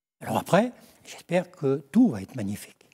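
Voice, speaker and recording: The man's voice sits fairly high and sounds somewhat breathy. Its tone is dark and mellow. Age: old. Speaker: former football coach. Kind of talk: TV talk show chat.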